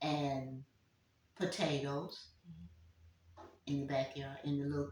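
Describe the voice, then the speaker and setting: Very deep and low, a woman's somewhat breathy voice moves at a very slow pace. Her intonation stays fairly even. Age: 80s+. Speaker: community elder. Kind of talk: interview answer.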